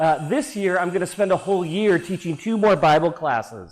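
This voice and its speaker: Loud and high-pitched, a man with an American accent talks with ordinary pitch variation. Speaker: preacher. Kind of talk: sermon.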